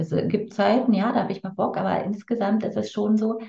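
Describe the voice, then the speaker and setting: A woman with a normal speaking voice, medium in pitch, fairly quick, with ordinary pitch variation. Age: 50s. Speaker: tantra teacher and coach. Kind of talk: casual interview.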